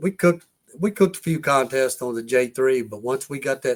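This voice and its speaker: A man with a plain, everyday voice, medium pitch, lively intonation and a moderate pace. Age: 60s. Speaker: competition barbecue cook. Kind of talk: casual chat.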